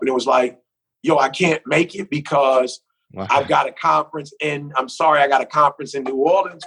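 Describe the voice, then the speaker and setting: Here a man talks at a fairly quick pace in a fairly high pitch with fairly even intonation. He has an unremarkable speaking voice, and the sound is dry and close with no echo. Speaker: motivational speaker. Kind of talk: podcast interview answer.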